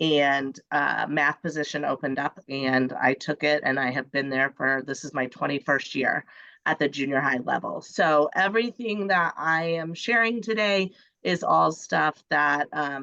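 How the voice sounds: A woman's low, nasal voice, bright and sharp in tone, with vocal fry and a fairly slow pace. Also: ordinary pitch variation.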